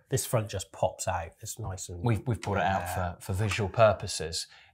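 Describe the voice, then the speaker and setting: Against a quiet background, a man speaks in a somewhat breathy voice at a fairly low pitch. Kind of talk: product explanation chat. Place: studio.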